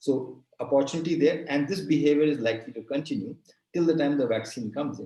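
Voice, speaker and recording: A man with a fairly high pitch speaks at a fairly quick pace in a dark, mellow, somewhat breathy tone. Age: 60s. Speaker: retail industry expert. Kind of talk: talk in a webinar session.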